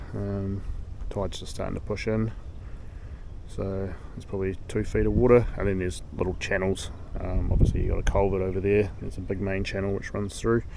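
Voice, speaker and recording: A man talks at a fairly quick pace with a New Zealand accent. Audible room echo colors the recording. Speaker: fishing vlogger. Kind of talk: vlog narration. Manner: casual, halting with fillers; quieter at times.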